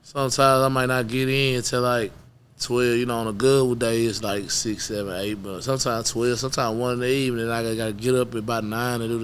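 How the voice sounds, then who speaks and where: Very fast speech in an American accent with fairly even intonation and audible room echo. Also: man. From Houston, Texas. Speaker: rapper. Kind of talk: interview.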